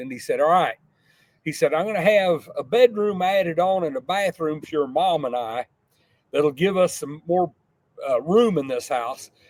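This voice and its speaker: A man with a Texan accent, fairly high-pitched, at a moderate pace with ordinary pitch variation. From Texas, south of San Antonio. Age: 60s. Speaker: entrepreneur. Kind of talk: interview. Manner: halting, repeats words.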